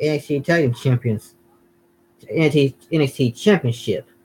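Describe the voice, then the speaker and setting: A man's fairly high, somewhat breathy voice moves with ordinary pitch variation. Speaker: gaming and wrestling YouTuber. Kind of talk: casual watch-along commentary. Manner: halting, repeats words.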